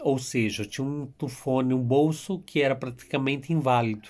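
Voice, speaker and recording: Here a man speaks at a fairly slow pace, in a medium pitch, with fairly even intonation. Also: very clean recording, silent background. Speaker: YouTuber telling his immigration story. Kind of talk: casual vlog storytelling.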